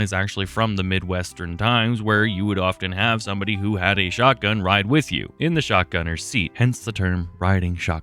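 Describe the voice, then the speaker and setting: Against noticeable background noise, a man with a fairly low pitch speaks at a fairly quick pace. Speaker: gaming video creator. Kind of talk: game commentary with narration. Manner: casual, conversational.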